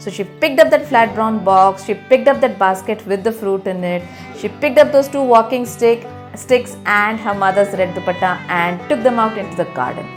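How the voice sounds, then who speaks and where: A woman at medium pitch talks at a moderate pace with lively intonation while music plays in the background. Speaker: children's book author. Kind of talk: children's read-aloud storytelling. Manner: warm, engaging, addressing young children.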